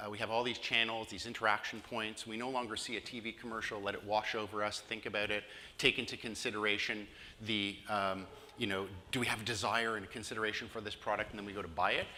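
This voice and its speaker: With a Canadian accent, a man delivers very fast, monotone, flat speech at a fairly low pitch amid audible room echo. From Canada, Toronto, Ontario. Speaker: digital marketing consultant. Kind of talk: conference presentation.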